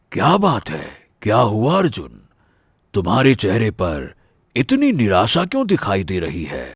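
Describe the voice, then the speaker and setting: A man performs a cartoonish character voice with a warm tone, a medium pitch and very wide pitch swings. The recording is very clean, with a silent background. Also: fairly slow pace. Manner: warm, fatherly.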